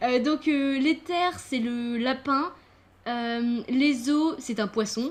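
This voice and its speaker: A woman talks at a very slow pace in a high pitch. Her pitch variation is ordinary. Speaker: gaming youtuber. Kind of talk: casual chat.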